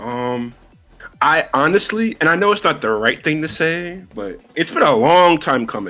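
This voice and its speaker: A man with a New York accent speaks at a fairly slow pace, his fairly high pitch moving in very wide swings. Music plays in the background. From New York City. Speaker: fighting game player. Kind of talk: casual interview.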